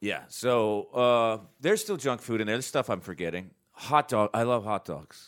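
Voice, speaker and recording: Speaking with an American accent, a man uses a normal speaking voice at a medium pitch and moderate pace, with ordinary pitch variation and hardly any pauses, on a very clean recording with a silent background. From North Carolina. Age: 40s. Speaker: comedian. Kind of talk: casual chat.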